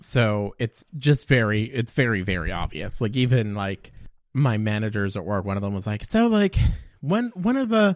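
At a moderate pace, a normal speaking voice with ordinary pitch variation comes through on a very clean recording with a silent background. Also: man, medium pitch for a man. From Canada, Alberta and Nova Scotia. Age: 20s. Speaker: podcast guest. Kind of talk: casual chat.

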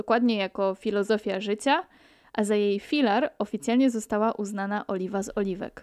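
Recorded very clean and dry, close with no echo and a silent background, a woman speaks at a moderate pace with fairly even intonation and a fairly high pitch in an ordinary speaking voice. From Poland, Pomerania. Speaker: podcaster. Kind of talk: solo podcast monologue.

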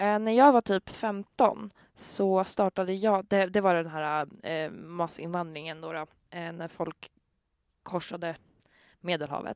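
A woman with an unremarkable speaking voice and fairly low pitch talks at a fairly slow pace with big swings in loudness, in a very clean recording with a silent background and a dry, close sound with no echo. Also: ordinary pitch variation. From Sweden, Gävle. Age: 20s. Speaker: social media commentator. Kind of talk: casual conversation. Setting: in a horse trailer at a trotting track.

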